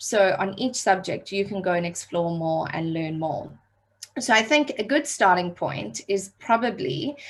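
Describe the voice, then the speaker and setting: Someone speaks with a South African accent and lively intonation. The pace is fairly slow. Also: woman, medium pitch for a woman. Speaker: digital marketing trainer. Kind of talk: online workshop training. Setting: video call.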